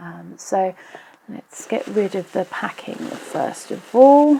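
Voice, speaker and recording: A woman's quiet voice. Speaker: nail polish YouTuber. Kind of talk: casual unboxing talk to camera. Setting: traffic noise in background. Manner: a bit quiet in places.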